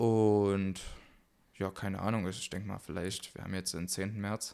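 Fairly low in pitch, a man speaks fairly slowly in a monotone, flat intonation. The recording is very clean with a silent background. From Saxony, Germany. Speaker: podcast co-host. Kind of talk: casual chat. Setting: home gaming room.

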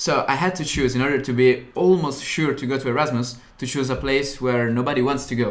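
Speaking with an Italian accent, a man talks at a fairly quick pace with hardly any pauses, a medium pitch and fairly even intonation. Audible room echo and noticeable background noise fill the recording. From Italy, Turin (north). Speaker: university student, podcast co-host. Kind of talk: casual chat.

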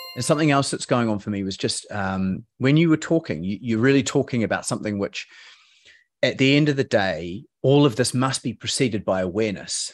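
An unremarkable speaking voice, this man talks at a fairly quick pace with medium pitch and lively intonation over a quiet background. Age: 40s. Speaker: podcast host. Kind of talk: casual interview.

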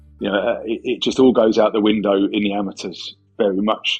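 Speaking with an English accent, a man talks at a medium pitch. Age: 40s. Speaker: philosophy lecturer and MMA coach. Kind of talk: casual interview. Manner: halting, with repeated words.

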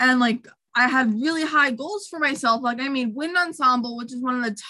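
Her voice raised and projected, a woman with an American accent speaks at a high pitch in a bright, sharp tone with lively intonation. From Long Island, New York. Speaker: flutist and music education student. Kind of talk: casual chat.

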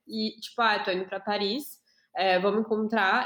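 At a moderate pace, a woman talks in a fairly high pitch with an unremarkable speaking voice. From Brazil. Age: 20s. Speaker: podcast host. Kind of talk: casual chat.

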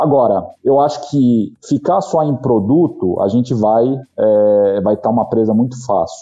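With a São Paulo accent, a man speaks with ordinary pitch variation. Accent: Paulistano Brazilian Portuguese. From São Paulo, Brazil (Zona Norte). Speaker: company executive. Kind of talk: interview.

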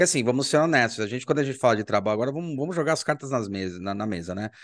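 Male speech, quiet background, pitch varying in an ordinary way. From Brazil. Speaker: podcast host and university professor. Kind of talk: casual interview.

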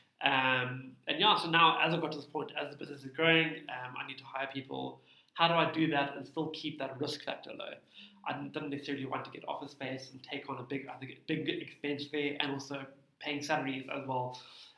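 Amid audible room echo, a man with a fairly high pitch talks at a fairly quick pace in a monotone, flat intonation. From South Africa, Cape Town. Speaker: tax practitioner, small business owner. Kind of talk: interview.

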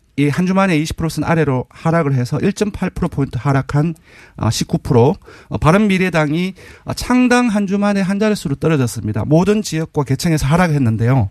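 The delivery is fairly slow, with very wide pitch swings. The sound is dry and close, with no echo. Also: man. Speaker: polling analyst. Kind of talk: interview about poll results.

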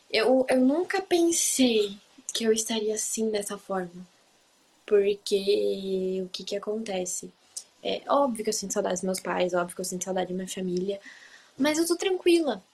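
Noticeable background noise sits behind a woman speaking. Her medium pitch carries lively intonation. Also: moderate pace. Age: 20s. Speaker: au pair. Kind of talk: casual interview chat.

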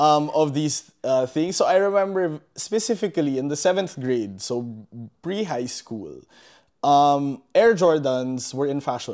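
Over a very clean, silent background, a man speaks in a normal speaking voice at a fairly high pitch, slowly, with lively intonation. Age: 20s. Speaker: podcast co-host. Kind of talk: casual chat.

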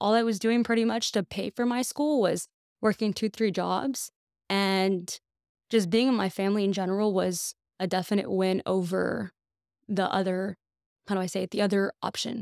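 Recorded very cleanly against a silent background, a woman with an unremarkable speaking voice talks at a moderate pace and medium pitch, her intonation fairly even and the sound dry and close with no echo. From US South, Texas (McAllen, Rio Grande Valley). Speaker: financial advisor. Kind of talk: casual chat.

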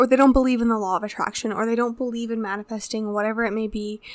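A woman's fairly high voice at a very fast pace, monotone with flat intonation. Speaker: podcast co-host. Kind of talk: casual chat. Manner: casual, chatty, laughs often.

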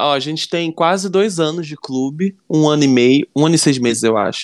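A normal speaking voice at a moderate pace, in a dry, close sound with no echo, on a very clean recording with a silent background. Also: man. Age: 30s. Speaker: writer and screenwriter. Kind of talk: casual interview.

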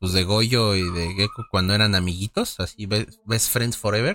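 The man speaks with a Mexican accent. His tone is bright and sharp. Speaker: podcast co-host. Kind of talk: casual chat.

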